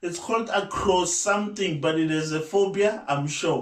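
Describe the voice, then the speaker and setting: A man speaks loudly in a high voice. His pitch varies in an ordinary way. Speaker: YouTuber. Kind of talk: casual vlog talk. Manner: halting.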